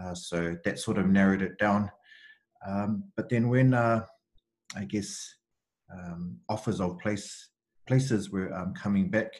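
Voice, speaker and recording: Speaking in a New Zealand accent with a fairly low pitch and ordinary pitch variation, a man goes at a fairly slow pace with long, frequent pauses on a very clean recording with a silent background. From New Zealand, Central Auckland. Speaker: university student recruitment advisor. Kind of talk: interview, casual conversation. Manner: hesitant, many fillers.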